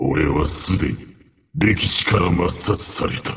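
The voice is a put-on character. It moves along fairly slowly. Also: man, very deep, low pitch for a man. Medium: dub.

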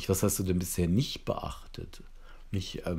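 Audible room echo surrounds a man whose voice is very deep and low in pitch and somewhat breathy. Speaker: psychotherapy trainer. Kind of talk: lecture. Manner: hesitant with filler sounds.

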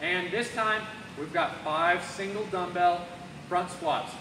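A man's raised, projected voice at a moderate pace, with noticeable background noise. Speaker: fitness coach. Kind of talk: workout instruction. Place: gym. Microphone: camera far.

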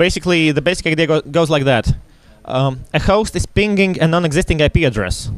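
A man with an ordinary speaking voice talks at a fairly quick pace and fairly high pitch, with ordinary pitch variation. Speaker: security researcher and workshop instructor. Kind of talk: lecture. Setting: stage with audience.

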